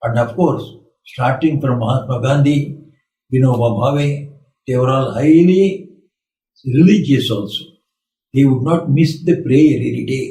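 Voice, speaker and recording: Speaking at a fairly slow pace with long, frequent pauses, this somewhat breathy, dark, mellow voice shows ordinary pitch variation against audible room echo. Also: man, fairly high pitch for a man. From India. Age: 80s+. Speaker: monk. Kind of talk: spiritual talk.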